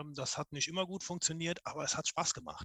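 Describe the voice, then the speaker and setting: A man's fairly high-pitched voice, bright and sharp in tone, with fairly even intonation and a dry, close sound free of echo. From Koblenz, Germany. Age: 40s. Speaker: civil engineer. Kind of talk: casual group chat. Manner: hesitant, many fillers.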